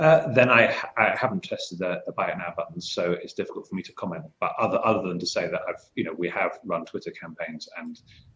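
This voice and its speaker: Speaking at a fairly quick pace with a Mancunian accent and hardly any pauses, a man swings widely in loudness over noticeable background noise. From Manchester, England. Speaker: marketing agency professional. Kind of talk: panel discussion. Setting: live video call broadcast.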